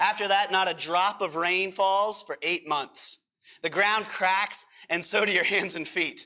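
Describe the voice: Plain reading aloud with fairly even intonation, set against a quiet background.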